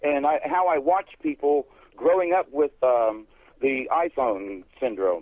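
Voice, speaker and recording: A man's fairly high voice with lively intonation, very even loudness and a fairly slow pace. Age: 60s. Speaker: guest on a call-in radio show. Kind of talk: casual radio talk. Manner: halting.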